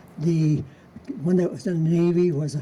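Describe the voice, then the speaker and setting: In an American accent, a man talks at a moderate pace with fairly even intonation over noticeable background noise. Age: 90s. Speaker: local history speaker. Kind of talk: storytelling talk. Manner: halting.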